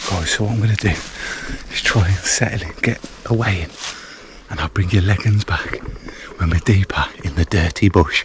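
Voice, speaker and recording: Amid noticeable background noise, a man speaks at a moderate pace in a fairly low pitch with ordinary pitch variation. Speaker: solo camping vlogger. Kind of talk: casual vlog narration. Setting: outdoors. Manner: whispering.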